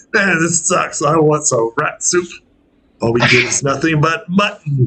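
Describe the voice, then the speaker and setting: Putting on a rumbling character voice at a fairly high pitch, a man speaks at a moderate pace. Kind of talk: coarse, gruff. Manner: grumbling, complaining.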